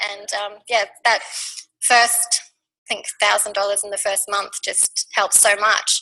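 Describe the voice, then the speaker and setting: A woman speaks with an Australian accent at a fairly slow pace. Her medium-pitched voice is bright and sharp, with monotone, flat intonation. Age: 40s. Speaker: network marketing team member. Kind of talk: testimony.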